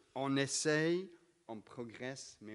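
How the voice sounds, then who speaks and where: A man with a slight British accent speaks at a very slow pace. His intonation is lively. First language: English (speaking French). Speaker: pastor. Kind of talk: sermon. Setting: church service. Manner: many filler hesitations.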